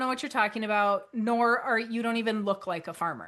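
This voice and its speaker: A loud, animated woman's voice, high and bright with a sharp tone, at a moderate pace. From North Dakota. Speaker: author and financial educator. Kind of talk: webinar presentation.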